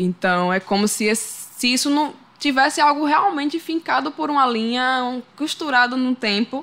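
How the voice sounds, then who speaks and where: A woman with a bright, sharp tone lets her intonation move in a lively way. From Sergipe, Brazil (Lagarto, countryside). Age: 20s. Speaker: singer-songwriter. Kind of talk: interview conversation.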